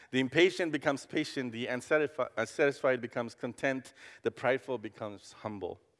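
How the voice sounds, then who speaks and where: Recorded very cleanly against a silent background, a man with a Costa Rican accent talks at a very fast pace in a medium pitch, with ordinary pitch variation. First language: Spanish. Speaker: campus pastor. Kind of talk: sermon. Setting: church. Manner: halting.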